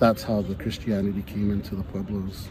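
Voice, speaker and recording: A man with a fairly low, somewhat breathy voice and a dark, mellow tone speaks at a moderate pace. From Santa Clara Pueblo, New Mexico. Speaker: Pueblo hoop dancer. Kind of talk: interview answer.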